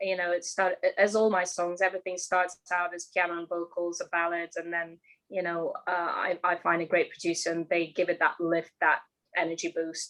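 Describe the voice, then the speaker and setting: Here a woman speaks in a Russian accent at medium pitch. Her pace is moderate. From Ukraine, Odessa. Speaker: singer-songwriter. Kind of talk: interview.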